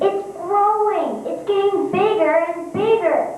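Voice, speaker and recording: A squeaky, put-on character voice moves at a fairly slow pace, with clear echo and clear music in the background. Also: woman, extremely high pitch for a woman. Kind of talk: amateur stage play. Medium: stage play. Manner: sharp, scornful, bossy.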